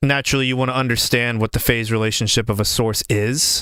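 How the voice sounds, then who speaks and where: A man speaks loudly at a moderate pace in a bright, sharp tone. The recording is very clean, with a silent background. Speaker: audio engineer and producer. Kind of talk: tutorial. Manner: casual, conversational.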